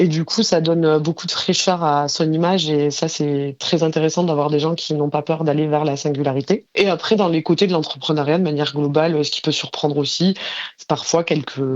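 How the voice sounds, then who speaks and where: At a fairly quick pace, a woman speaks with a very deep, low pitch and fairly even intonation. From southern France, Tarn (Mazamet). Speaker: freelance graphic designer and entrepreneur. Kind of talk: podcast interview. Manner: frequent hesitations (euh).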